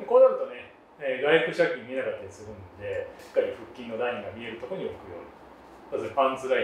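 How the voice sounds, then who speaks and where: Very fast speech comes through with audible room echo and light background noise. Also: man. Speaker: judge coaching posing. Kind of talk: instruction. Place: gym.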